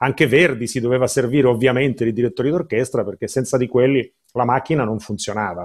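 A man speaks at a very fast pace and medium pitch against a quiet background. His pitch variation is ordinary. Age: 50s. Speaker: artist manager interviewer. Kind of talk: interview. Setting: video call from home. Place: home room. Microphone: webcam.

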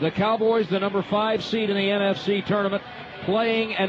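A high-pitched man speaks over noticeable background noise. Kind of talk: live sports commentary.

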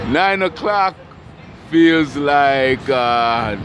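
There is noticeable background noise, and the sound is dry with no echo. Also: man. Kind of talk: casual commentary. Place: street. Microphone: phone near.

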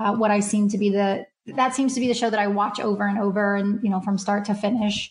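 A woman's somewhat breathy, fairly high voice with an American accent, at a moderate pace. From Kentucky, US. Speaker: HR consultant. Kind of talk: casual interview chat.

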